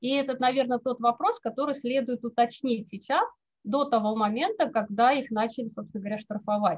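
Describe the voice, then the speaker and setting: At a fairly quick pace, a woman talks with a high pitch and ordinary pitch variation against a quiet background. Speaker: legal researcher. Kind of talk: academic presentation. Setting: video call. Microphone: video call.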